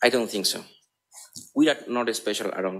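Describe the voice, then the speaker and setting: A man with a Spanish accent speaks at medium pitch. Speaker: psychotherapist. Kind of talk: conference talk. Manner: halting.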